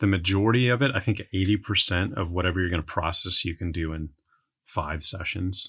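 A man with an American accent speaks in a very deep, low pitch. The background is quiet. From Texas, San Antonio. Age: 40s. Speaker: entrepreneur. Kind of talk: casual chat.

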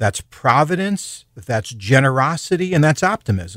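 This man talks at a fairly slow pace, his pitch swinging very widely. The sound is dry and close with no echo, on a very clean recording with a silent background. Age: 60s. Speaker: professional storyteller and speaker. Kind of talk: casual radio interview.

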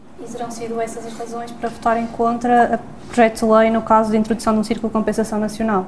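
There is noticeable background noise. A woman talks at a very fast pace and a fairly high pitch, her intonation monotone and flat. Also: big swings in loudness. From Portugal, Porto. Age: 20s. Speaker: law student. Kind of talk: interview questions. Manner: hesitant.

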